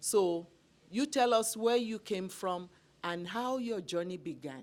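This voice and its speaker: Speaking fairly slowly with a non-native accent, a woman uses a medium pitch and lively intonation. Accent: foreign. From immigrant to Canada. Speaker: talk show host. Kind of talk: interview.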